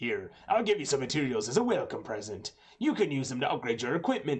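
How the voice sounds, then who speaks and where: In a put-on character voice, a man talks at a very fast pace with a fairly high pitch. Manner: gruff.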